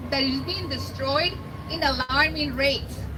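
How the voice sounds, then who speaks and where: A woman with a Mexican accent at a fairly slow pace, amid noticeable background noise and audible room echo. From Mexico. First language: Spanish. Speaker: environmental nonprofit outreach manager, biologist. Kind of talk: rally speech.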